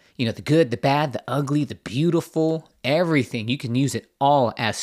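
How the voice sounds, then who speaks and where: In a very clean recording with a silent background, a man with a normal speaking voice talks at a moderate pace, his medium pitch showing ordinary variation. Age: 40s. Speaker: podcast host. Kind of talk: casual chat.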